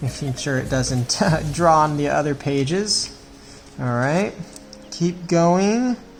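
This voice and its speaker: Noticeable background noise beneath very slow delivery, broken by long, frequent pauses. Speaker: children's drawing instructor. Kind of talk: tutorial.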